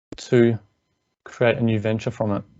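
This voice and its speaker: A man speaks in an Australian accent at a moderate pace. His intonation is monotone and flat. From Australia, Melbourne. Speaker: engineer and business coach. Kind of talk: webinar presentation. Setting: online webinar.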